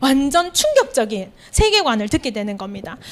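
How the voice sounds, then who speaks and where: A woman's high voice at a moderate pace, with very wide pitch swings, over noticeable background noise. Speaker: teacher and evangelist. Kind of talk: sermon. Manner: many fillers, conversational.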